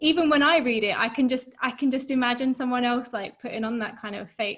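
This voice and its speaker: Speaking with a Southern English accent, a woman with a high pitch moves at a fairly quick pace with fairly even intonation. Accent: generic southern English to Estuary English. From southern England. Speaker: literature discussion co-host. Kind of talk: casual academic discussion on video call. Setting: video call.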